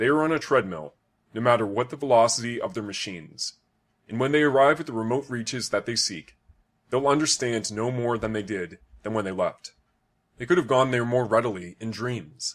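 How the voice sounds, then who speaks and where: An ordinary speaking voice at a fairly quick pace with ordinary pitch variation. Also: man, medium pitch for a man. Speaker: audiobook narrator. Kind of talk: reading aloud.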